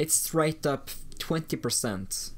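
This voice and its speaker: A man speaks with a non-native accent on a very clean recording with a silent background. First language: not English. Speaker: gaming streamer. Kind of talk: live stream game commentary. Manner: halting.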